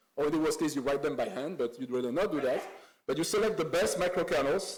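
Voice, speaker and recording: Audible room echo surrounds a man's voice. He talks at a very fast pace with a fairly high pitch. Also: ordinary pitch variation. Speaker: conference speaker on AI compilers. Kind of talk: conference talk. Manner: halting, many fillers and repeats.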